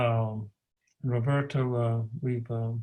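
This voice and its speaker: A man speaks at a medium pitch with a somewhat breathy, dark and mellow tone in a monotone, flat intonation. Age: 70s. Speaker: interviewer. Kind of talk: interview.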